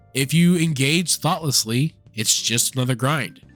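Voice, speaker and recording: Lively intonation at a fairly slow pace, with music in the background. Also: man. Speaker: legally blind gamer. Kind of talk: gaming video essay to camera.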